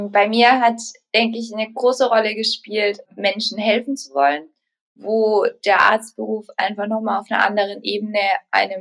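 A woman with a normal speaking voice, fairly high in pitch, at a moderate pace with ordinary pitch variation. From Germany, Baden-Württemberg. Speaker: resident doctor. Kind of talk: interview.

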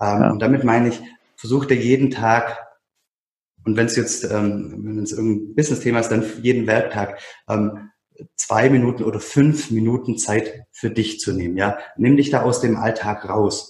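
Somewhat breathy, a man speaks at a moderate pace with a medium pitch and fairly even intonation. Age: 30s. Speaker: self-management consultant and coach. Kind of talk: casual conversation. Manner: halting, many fillers and repeated words.

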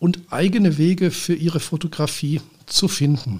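A man with a high pitch. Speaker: podcast host and photographer. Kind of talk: solo podcast monologue. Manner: formal.

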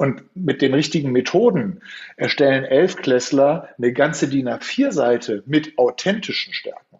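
At a fairly slow pace, an unremarkable speaking voice moves with ordinary pitch variation. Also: man, fairly high pitch for a man. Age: 50s. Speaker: youth coach. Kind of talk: interview.

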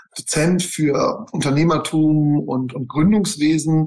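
Intonation remains fairly even. This is a plain, everyday voice. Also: man. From Bavaria, Germany. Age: 40s. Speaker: real estate investor and lecturer. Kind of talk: interview. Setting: video call.

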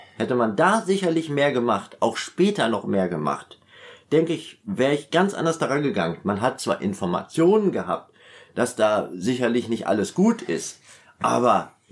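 A man speaks at a moderate pace. His pitch is medium, and it swings very widely. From Westphalia, Germany (Münster). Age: 50s. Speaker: former teacher, prison inmate. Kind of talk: personal life story interview.

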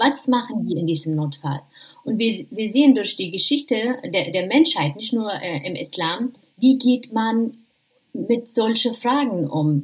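With an Arabic accent, a woman speaks at a fairly slow pace in a fairly high voice with very wide pitch swings. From Jordan. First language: Arabic (speaking German). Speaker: professor of Islamic theology. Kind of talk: interview. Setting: remote call from home in quarantine. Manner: halting, many fillers.

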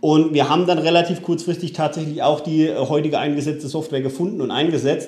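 A man with a fairly high pitch speaks at a very fast pace with hardly any pauses. His intonation is monotone and flat, with audible room echo. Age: 30s. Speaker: solar company founder. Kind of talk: interview. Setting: at his company premises.

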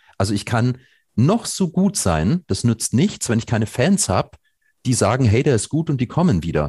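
A man's dark, mellow voice at medium pitch with vocal fry and very wide pitch swings, at a moderate pace, dry and close with no echo, over a quiet background. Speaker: nonprofit environmental organization founder. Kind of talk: podcast interview.

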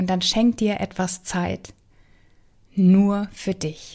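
The tone is calm and soothing, and the recording is very clean with a silent background. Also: woman. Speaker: relationship mentor and podcast host. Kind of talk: guided meditation. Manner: slow, calm, soothing; gentle, warm, with long pauses.

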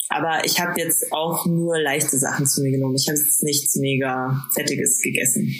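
A woman with a very deep, low pitch, very even loudness and a moderate pace, against noticeable background noise. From Bavaria, Bad Aibling. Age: 20s. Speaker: podcast co-host. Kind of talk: casual chat. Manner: halting, many fillers.

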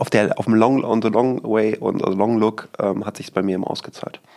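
Noticeable background noise sits behind speech at a fairly slow pace. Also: man, hardly any pauses. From Münsterland, Germany (Rheine area). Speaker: real estate company CEO. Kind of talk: podcast interview.

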